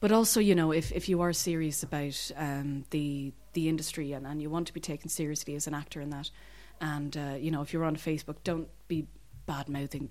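Speaking with a Dublin accent, a woman has a very deep, low pitch. She talks at a fairly quick pace with fairly even intonation. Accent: Dublin Irish. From Dublin, Ireland. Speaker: actor. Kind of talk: interview.

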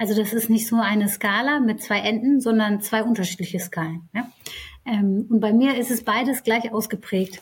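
A woman talks at a moderate pace, her voice somewhat breathy. Her intonation stays fairly even. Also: fairly high pitch for a woman. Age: 30s. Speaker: HR executive. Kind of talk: interview.

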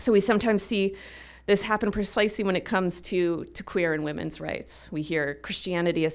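A woman speaks in a plain, everyday voice at a fairly quick pace. Her pitch varies in an ordinary way. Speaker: religion and peace scholar. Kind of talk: panel discussion. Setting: stage with audience.

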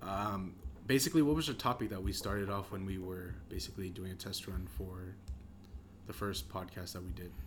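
A man's very deep, low voice with vocal fry, lively intonation and a fairly quick pace, plus audible room echo. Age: young. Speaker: podcast co-host and clothing shop worker. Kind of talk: casual chat.

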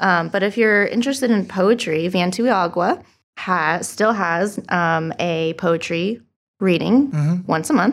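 A woman's medium-pitched voice with a Californian accent and ordinary pitch variation. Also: fairly slow pace, very clean recording, silent background. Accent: Californian American English. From Southern California, Huntington Beach. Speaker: arts journalist and co-host. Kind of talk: casual chat.

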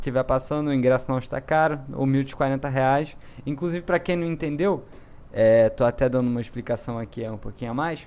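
A man speaks at a medium pitch with ordinary pitch variation. He talks at a fairly quick pace in an unremarkable speaking voice. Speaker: podcast host and editor. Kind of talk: casual chat.

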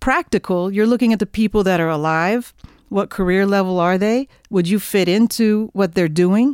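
An unremarkable speaking voice with an American accent at a moderate pace, dry and close with no echo, on a very clean recording with a silent background. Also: woman, very even loudness. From Oklahoma, near Oklahoma City. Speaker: jazz saxophonist. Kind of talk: interview.

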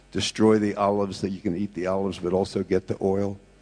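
A man with an American accent, fairly low and dark, mellow in tone, at a very fast pace with monotone, flat intonation. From USA. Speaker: pastor. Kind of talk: sermon.

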